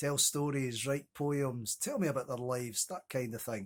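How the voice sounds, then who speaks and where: In a very clean recording with a silent background, a man with a Scottish accent speaks at a moderate pace and medium pitch. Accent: Scottish (Ayrshire). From Scotland, Ayrshire (Kilmarnock). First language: Scots. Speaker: poet. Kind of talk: casual chat to camera.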